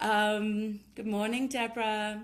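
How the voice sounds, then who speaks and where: A woman speaks at a fairly slow pace in a South African accent. Her pitch sits fairly high. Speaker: tantra workshop leader. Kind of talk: casual chat. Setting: live video stream.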